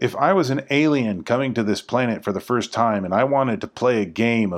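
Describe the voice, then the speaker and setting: At a moderate pace and medium pitch, a man talks in an unremarkable speaking voice over a quiet background. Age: 40s. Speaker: podcast host exploring the Bible. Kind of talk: scripted narration.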